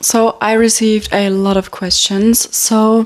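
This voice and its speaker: A woman's fairly high voice is heard with noticeable background noise around it. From Germany. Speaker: social media influencer. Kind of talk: casual chat. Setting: at home in bedroom.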